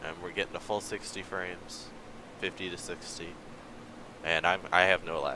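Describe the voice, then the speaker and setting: A man speaks at a very deep, low pitch with monotone, flat intonation. His pace is moderate, broken by long, frequent pauses. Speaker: gaming livestreamer. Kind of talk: casual livestream commentary. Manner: casual, hesitant with fillers.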